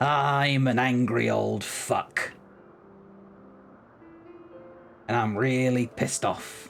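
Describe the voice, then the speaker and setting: A gruff put-on character voice at a very slow pace, with clear background noise. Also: man, medium pitch for a man. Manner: angry, irritated.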